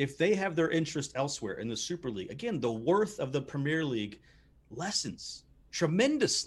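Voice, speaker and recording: Somewhat breathy and fairly high-pitched, a man with an American accent talks at a fairly quick pace with very wide pitch swings against a quiet background. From United States. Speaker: sports podcast co-host. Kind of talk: casual chat. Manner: animated.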